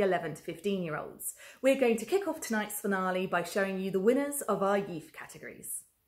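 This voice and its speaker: A woman speaks at a very fast pace with hardly any pauses. Her voice is somewhat breathy. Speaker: festival host. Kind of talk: presenter introduction. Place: workshop.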